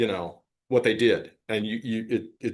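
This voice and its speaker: In a quiet setting, the man talks with a medium-pitched voice. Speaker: AI researcher giving a tutorial. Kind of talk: lecture. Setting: conference tutorial room. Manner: loud; casual, with filler words.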